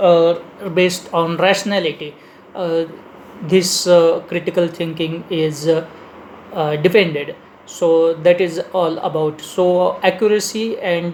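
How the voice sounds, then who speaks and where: A man speaks at a fairly slow pace in an Indian accent, his pitch high and his intonation flat and monotone. Noticeable background noise runs behind him. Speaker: leadership speaker. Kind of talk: lecture. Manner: halting, many fillers.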